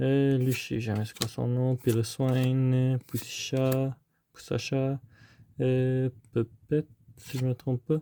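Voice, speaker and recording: A man speaks at a very slow pace with long, frequent pauses, his medium-pitched voice monotone and flat, in a dry, close sound with no echo. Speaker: trading card unboxing youtuber. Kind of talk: casual unboxing commentary. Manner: hesitant, many fillers.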